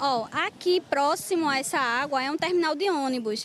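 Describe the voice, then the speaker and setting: A woman with a Pernambuco accent speaks at a high pitch with ordinary pitch variation. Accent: Pernambuco Brazilian Portuguese. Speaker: local resident interviewed. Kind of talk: street interview complaint. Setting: outdoors on location in flooded street.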